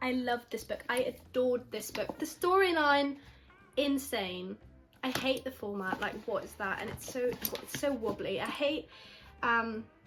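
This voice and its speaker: A woman's high, lively voice at a moderate pace, with music in the background. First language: not English. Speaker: book youtuber. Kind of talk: casual vlog book review. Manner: animated, enthusiastic; halting, repeats words.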